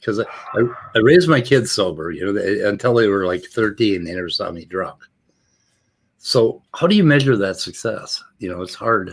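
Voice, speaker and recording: A man with an American accent and a normal speaking voice talks at a moderate pace and medium pitch, with lively intonation and big swings in loudness. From US Midwest, Minnesota Iron Range. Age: 60s. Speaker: recovering addict. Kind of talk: casual chat.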